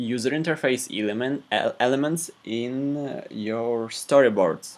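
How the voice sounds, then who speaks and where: A man talks at a very slow pace. His pitch sits in the medium range. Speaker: programming tutor. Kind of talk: tutorial. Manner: halting.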